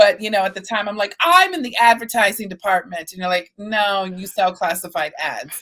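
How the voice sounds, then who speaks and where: Her tone bright, sharp and animated, a woman speaks at a medium pitch with big swings in loudness. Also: ordinary pitch variation, moderate pace. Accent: American. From Texas. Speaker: podcast host. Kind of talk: interview conversation.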